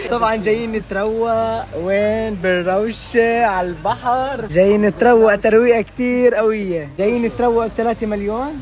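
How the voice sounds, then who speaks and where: Over noticeable background noise, a man with a strong Jordanian accent talks at a fairly slow pace in a high pitch, with hardly any pauses. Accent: Jordanian, heavy. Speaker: social media vlogger. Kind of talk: casual vlog. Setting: outdoors by the sea. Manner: animated.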